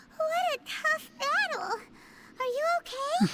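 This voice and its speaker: A put-on character voice, squeaky and extremely high in pitch, at a fairly slow pace. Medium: video game. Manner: chatty, excitable.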